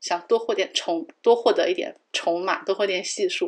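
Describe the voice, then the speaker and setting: The pitch of this woman's voice swings very widely. She keeps a moderate pace. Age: 30s. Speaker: podcast co-host. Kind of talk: casual chat.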